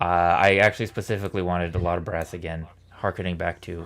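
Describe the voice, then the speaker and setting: This soft-spoken man has a very deep, low pitch. He talks at a fairly quick pace with fairly even intonation. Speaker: musician and arranger in a brass group. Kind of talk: casual chat.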